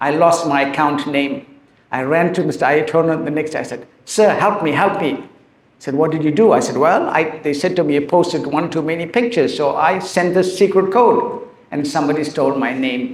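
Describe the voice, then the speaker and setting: A man speaks at a high pitch in a non-native accent. Audible room echo surrounds his voice. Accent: noticeable non-native. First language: Tamil. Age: 60s. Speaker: author and teacher. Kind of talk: talk to school students. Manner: emotional.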